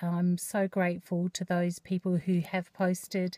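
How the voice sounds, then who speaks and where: With an Australian accent, a woman speaks in a somewhat breathy, medium-pitched voice of dark, mellow tone, the sound dry and close with no echo. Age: 50s. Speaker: vlogger. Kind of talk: personal vlog. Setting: in a car. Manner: hesitant, many fillers.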